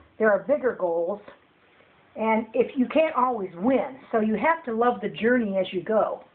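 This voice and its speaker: Delivered at a moderate pace, the voice has a lively, rising-and-falling intonation. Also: woman, fairly high pitch for a woman. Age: 60s. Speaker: violin orchestra teacher. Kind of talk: casual interview at home. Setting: at home with dog nearby.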